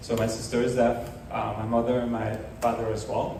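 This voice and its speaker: A man's fairly quick, monotone, flat delivery, with audible room echo and noticeable background noise. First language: sign language. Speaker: startup founder demoing accessibility tech. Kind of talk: demo presentation. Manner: hesitant, many fillers.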